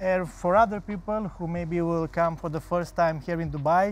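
A man with a Romanian accent speaks at a high pitch, with a dry sound and no echo. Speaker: festival co-founder; guest. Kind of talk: tv interview; interview answer. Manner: hesitant, many fillers. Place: studio. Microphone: lapel.

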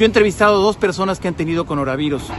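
A man speaks with lively intonation in a dry recording with no echo and light background noise. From Mexico, Jalisco (Tepatitlán); Jalisco, Mexico. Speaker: TV news correspondent. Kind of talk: public service message. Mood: earnest, concerned. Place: street. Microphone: phone near.

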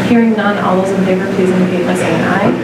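Audible room echo surrounds a woman speaking over loud background noise. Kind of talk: meeting chairing. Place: meeting room. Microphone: camera far.

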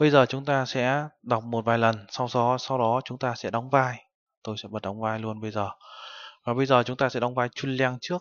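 Against a quiet background, a man talks at a moderate pace in an ordinary speaking voice of medium pitch with fairly even intonation. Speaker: Korean language teacher. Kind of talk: lecture. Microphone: webcam.

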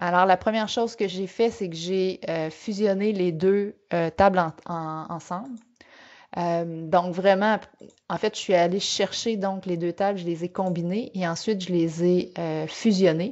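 This woman's intonation stays fairly level as she talks rather unhurriedly in a middle register. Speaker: finance and data analytics trainer. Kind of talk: webinar tutorial. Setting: online webinar. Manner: hesitant, many fillers and repetitions.

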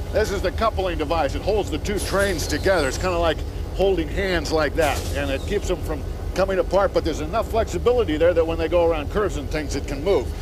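Music plays in the background as someone speaks at a very fast pace. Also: man. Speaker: children's video host. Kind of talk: educational explanation for kids. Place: station. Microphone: lapel.

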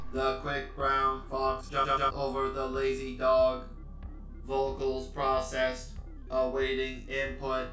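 Through clear background noise and a slight echo, a man uses a robotic, put-on character voice at a fairly slow pace. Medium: short film. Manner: flat, mechanical, rudimentary.

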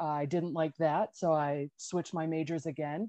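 A woman with an American accent speaks at a fairly low pitch and moderate pace, with a dark, mellow tone and monotone, flat intonation, in a dry sound with no echo over a quiet background. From United States. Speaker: early-career scientist panelist. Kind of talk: panel discussion. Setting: video call. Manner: casual, rambling. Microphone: video call.

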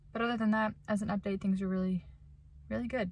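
Somewhat breathy, very fast delivery with fairly even intonation and a dry sound with no echo. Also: woman. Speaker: vlogger. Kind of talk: casual vlog chat, reflective faith talk. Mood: reflective, earnest. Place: car. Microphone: phone near.

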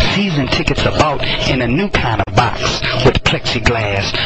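A man with an American accent speaks at a fairly high pitch over noticeable background noise. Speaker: poet. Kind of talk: spoken word poetry performance. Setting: prison recording.

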